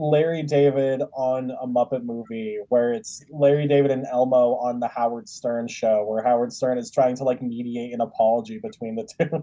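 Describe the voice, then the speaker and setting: A man talks at a moderate pace with fairly even intonation. It is an ordinary speaking voice. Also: medium pitch for a man. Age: 20s. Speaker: comedian, podcast host. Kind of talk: casual chat.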